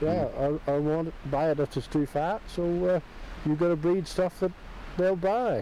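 Speaking at a moderate pace in a high voice with a West Country accent, a man is heard in a dry sound with no echo over light background noise. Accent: West Country (Exmoor). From Exmoor, Somerset. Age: old. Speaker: local farmer interviewee. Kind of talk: interview answer. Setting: outdoors. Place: open country.

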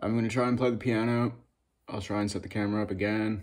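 A man talks with a quiet background. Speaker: vlogger. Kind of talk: casual vlog chat. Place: home room. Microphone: phone near.

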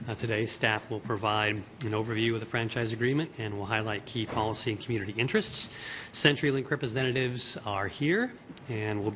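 A man speaks at a fairly quick pace with fairly even intonation over light background noise. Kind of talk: meeting chairing, reading briefing. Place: hall. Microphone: podium.

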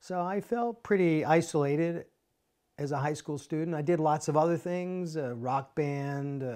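A man speaks at a moderate pace, his pitch fairly high with ordinary variation. His tone is dark and mellow against a quiet background. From US Northeast, New Jersey suburbs; New Jersey. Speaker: business professor. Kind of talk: interview answer. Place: home room. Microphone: lapel.

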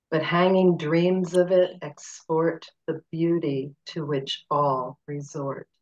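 A woman's fairly low pitch, very slow pace and fairly even intonation, with hardly any pauses. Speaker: poetry reader. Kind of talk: poem reading. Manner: measured, lyrical, slow.

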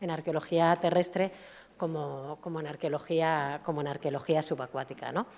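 A woman has a normal speaking voice with a fairly low pitch. She speaks at a moderate pace with fairly even intonation. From Spain. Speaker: government heritage official. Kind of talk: conference talk. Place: hall.

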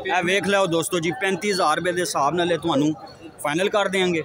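A man at a high pitch, in a dry sound with no echo, with noticeable background noise. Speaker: market vlogger filming animals. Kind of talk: casual vlog commentary and bargaining. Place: market. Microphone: phone near.

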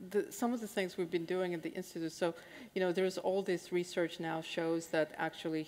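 A woman speaks at a fairly quick pace with fairly even intonation. Her pitch is fairly low. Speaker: panelist. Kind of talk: panel discussion. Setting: stage with audience. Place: hall.

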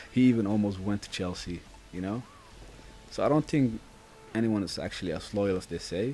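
Long, frequent pauses break up the speech of a man with a Dutch accent, who talks at a fairly low pitch with ordinary pitch variation. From Netherlands. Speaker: gaming YouTuber. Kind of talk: live gameplay commentary. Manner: casual, chatty with frequent fillers.

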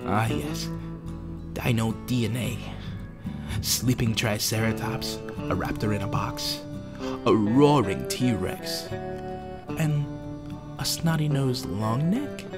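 Over music in the background, a man with a medium-pitched voice talks at a very slow pace, his pitch swinging very widely between long, frequent pauses. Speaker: voice actor. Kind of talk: trailer narration.

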